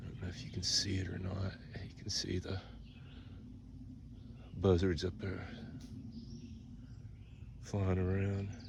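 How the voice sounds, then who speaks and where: A man with a very deep, low pitch speaks somewhat breathily at a fairly slow pace. He leaves long, frequent pauses. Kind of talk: casual walkthrough narration to camera. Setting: outdoors.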